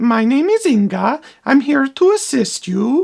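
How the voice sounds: A cartoonish character voice pitched high swings very widely up and down. It moves at a fairly slow pace.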